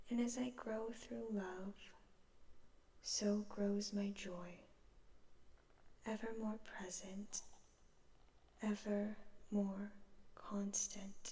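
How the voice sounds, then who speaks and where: Soft-spoken and very slow, the voice leaves long, frequent pauses. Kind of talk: book quote reading.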